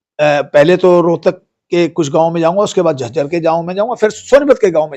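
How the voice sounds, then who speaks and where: Talking at a moderate pace, a man has a high-pitched voice. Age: 70s. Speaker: veteran politician, former minister. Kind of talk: press statement. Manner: halting, with frequent fillers and self-corrections.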